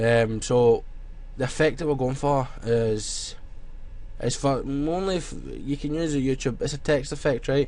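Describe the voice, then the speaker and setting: In a Scottish accent, a man speaks at a fairly slow pace. His pitch is fairly high, with ordinary variation. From Scotland. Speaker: graphic design tutorial youtuber. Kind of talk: tutorial. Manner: casual, filler-heavy.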